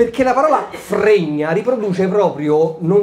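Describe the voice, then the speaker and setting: Over noticeable background noise, a man with a Roman accent talks at a fairly slow pace and a high pitch, with lively intonation and an animated tone. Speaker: stand-up comedian. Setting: stage with audience. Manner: animated, brash, comic timing with rhetorical questions and pauses for laughs.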